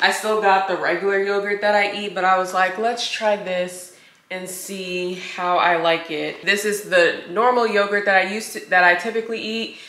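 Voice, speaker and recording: Flat, monotone delivery at a moderate pace, with audible echo from the room. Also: woman. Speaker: lifestyle vlogger. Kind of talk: casual vlog chat. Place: kitchen. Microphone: camera far.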